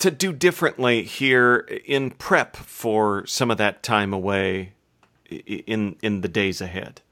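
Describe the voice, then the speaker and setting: This man's tone is bright and sharp. He speaks at a very slow pace. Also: very clean recording, silent background. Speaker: podcast host. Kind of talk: interview conversation.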